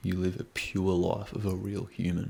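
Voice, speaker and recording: A quiet man with a very deep, low pitch. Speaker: self-improvement youtuber. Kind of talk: casual vlog monologue. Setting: at home with housemates asleep. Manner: quiet, keeping voice down.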